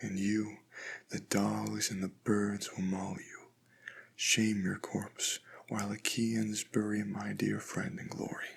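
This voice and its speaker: Whispering, a man speaks at a very slow pace. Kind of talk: ASMR poetry reading. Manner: whispered, soft-spoken.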